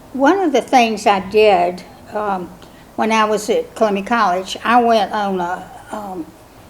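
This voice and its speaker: Speaking at a fairly slow pace in a South Carolina accent, a woman with a fairly high pitch shows ordinary pitch variation. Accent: Southern US (South Carolina). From South Carolina (Cameron, rural Lowcountry). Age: 70s. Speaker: mother of the year honoree. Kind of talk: oral history interview. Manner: hesitant, many fillers.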